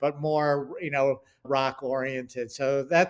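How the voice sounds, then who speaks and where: A man's fairly even intonation comes through in a very clean recording with a silent background. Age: 60s. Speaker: television writer and producer. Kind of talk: casual interview chat. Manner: halting, many fillers.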